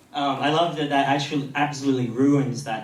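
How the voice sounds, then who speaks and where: Noticeable background noise runs under a man's speech. The room adds audible echo. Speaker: conference speaker. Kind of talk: conference talk. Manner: fast.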